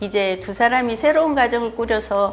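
A woman talks at a moderate speed while music plays faintly behind her. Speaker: senior lifelong-learning student. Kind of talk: reading a personal letter aloud. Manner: warm, affectionate. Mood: warm, gentle, reflective. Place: studio. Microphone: lapel.

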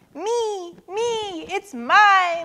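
Doing a put-on character voice, a woman speaks very slowly in an extremely high pitch with a bright, sharp tone and ordinary pitch variation.

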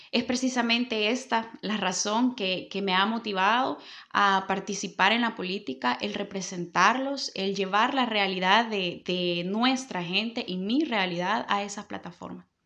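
Over a quiet background, a woman with a bright, sharp tone speaks at a fairly slow pace with hardly any pauses. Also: ordinary pitch variation. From El Salvador, Santa Ana; El Salvador. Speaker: political candidate and lawyer; candidate, lawyer. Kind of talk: interview. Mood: earnest, committed. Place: office. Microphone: handheld.

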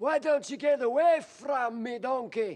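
Pitched extremely high, a man puts on a character voice. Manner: funny, gruff, annoyed.

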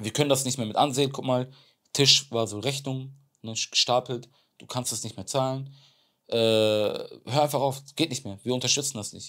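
A man talks at a moderate pace and medium pitch with fairly even intonation against a quiet background. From Germany, Bremen; Germany. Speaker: extreme athlete; podcast guest. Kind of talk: interview. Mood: earnest, reflective storytelling. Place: studio. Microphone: lapel.

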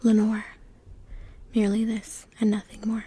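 A woman whispers quietly and somewhat breathily at a moderate pace, in a dry sound with no echo. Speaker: poetry reader. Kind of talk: dramatic poetry reading. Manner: hushed bedtime-story whisper. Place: home room. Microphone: phone near.

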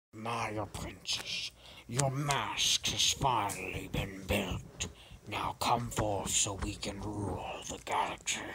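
A man's put-on character voice, raspy and fairly low-pitched, at a very slow pace against clear background noise. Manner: commanding, scheming.

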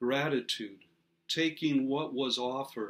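A man speaks at a medium pitch. His pace is slow. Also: ordinary pitch variation.

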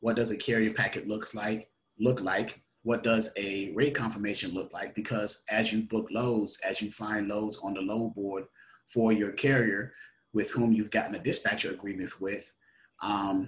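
A man with a normal speaking voice, fairly low in pitch, at a moderate pace with fairly even intonation. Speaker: trainer promoting an online seminar. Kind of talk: tutorial. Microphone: webcam.

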